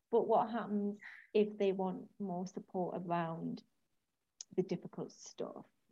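A woman's somewhat breathy, medium-pitched voice, fairly slow and monotone, with long, frequent pauses. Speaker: podcast host. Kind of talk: casual interview chat.

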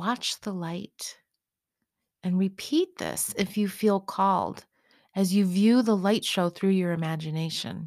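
A woman with an ordinary speaking voice talks fairly slowly at medium pitch with ordinary pitch variation, in a very clean recording with a silent background. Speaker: meditation guide. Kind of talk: guided meditation. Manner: soft-spoken; slow, calming.

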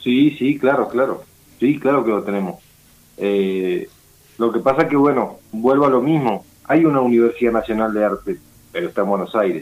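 The man's voice sits at a medium pitch with ordinary pitch variation. He speaks at a moderate pace. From Argentina, Patagonia (Río Negro). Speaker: folk ballet director and dance teacher. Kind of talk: interview. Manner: halting, many repetitions.

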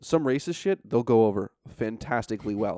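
A man with an American accent talks fairly quickly at medium pitch, his dark, mellow tone showing ordinary pitch variation in a dry, close sound with no echo and a very clean recording with a silent background. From upstate New York. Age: 20s. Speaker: comedian. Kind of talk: casual chat.

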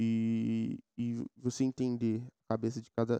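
Dark, mellow male tone, recorded dry and close without any echo. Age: 20s. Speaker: podcast host. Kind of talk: casual solo monologue.

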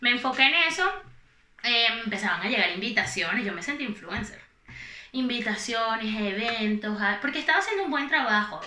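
Over noticeable background noise and audible room echo, a woman speaks at a moderate pace with lively intonation and a fairly high pitch. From Venezuela, Valencia (Carabobo). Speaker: influencer. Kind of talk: casual chat.

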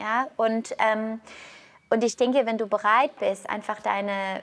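In an unremarkable speaking voice, a woman talks fairly slowly at a fairly high pitch with fairly even intonation over a quiet background. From Canada. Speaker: yoga teacher and health coach. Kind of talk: casual interview.

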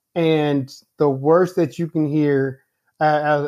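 Very slowly, a man speaks with a fairly high pitch and fairly even intonation. The recording is very clean with a silent background. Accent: American. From US Midwest, Indianapolis, Indiana. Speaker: engineering director. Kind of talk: casual interview.

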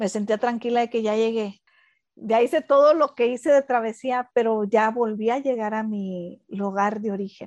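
In a quiet background, a woman with a normal speaking voice talks at a moderate pace with fairly high pitch and fairly even intonation, the sound dry and close with no echo. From Mexico. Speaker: architect and podcast co-host. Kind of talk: casual chat.

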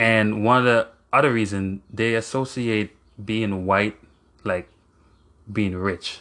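Very slow and broken by long, frequent pauses, a man's fairly low voice carries a bright, sharp tone and fairly even intonation. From Jamaica. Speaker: podcast host. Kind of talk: solo podcast monologue. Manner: halting.

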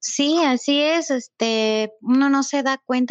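A woman's voice, high in pitch, with ordinary pitch variation. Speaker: animal rescue shelter founder. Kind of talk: casual interview.

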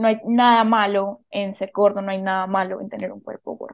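A woman talks in an ordinary speaking voice, medium in pitch, with ordinary pitch variation. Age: 20s. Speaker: university student and podcaster. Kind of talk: casual interview chat.

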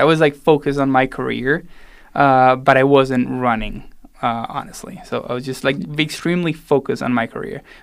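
A man with a Spanish accent speaks at a fairly quick pace in a fairly high pitch, with ordinary pitch variation and big swings in loudness. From Argentina (raised in Salta). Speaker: pastry chef and ultrarunner. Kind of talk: casual interview. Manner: casual.

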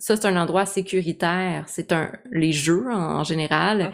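In a very clean recording with a silent background, a woman with an unremarkable speaking voice talks fairly slowly at a fairly low pitch with ordinary pitch variation. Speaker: podcast host. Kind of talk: casual interview.

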